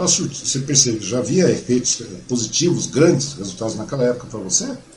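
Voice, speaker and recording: A man speaks very fast with lively intonation. There is noticeable background noise and audible room echo. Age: 50s. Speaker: podcast host. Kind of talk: casual interview.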